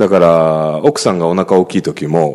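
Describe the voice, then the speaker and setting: A man talks in a very deep, low pitch. Noticeable background noise runs behind him. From Chiba, Japan. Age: 30s. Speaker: podcast co-host, forex trading instructor. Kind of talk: casual chat. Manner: many fillers and hesitations.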